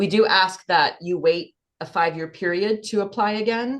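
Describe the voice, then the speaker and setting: Her pitch shifts in an ordinary way. Behind this woman, the background stays quiet. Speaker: workshop presenter. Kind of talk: online presentation. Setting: video call. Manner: fast; animated.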